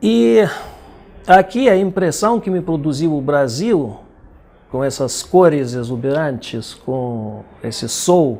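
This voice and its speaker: A man with a Russian accent speaks in a fairly high pitch with lively intonation. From Belarus. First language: Russian (speaking Portuguese). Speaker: poet and translator. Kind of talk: interview.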